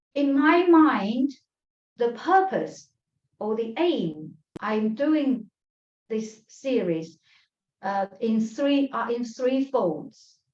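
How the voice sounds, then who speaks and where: With a Chinese accent, the speaker goes at a very slow pace with long, frequent pauses and very wide pitch swings. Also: woman, high pitch for a woman. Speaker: tai chi teacher. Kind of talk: lecture. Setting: online class. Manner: halting.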